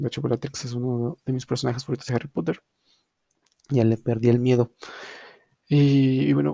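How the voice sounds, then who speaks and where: A man speaks at a moderate pace, leaving long, frequent pauses. His tone is dark and mellow, and the sound is dry and close with no echo. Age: young. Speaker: podcast host. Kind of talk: casual chat. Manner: halting.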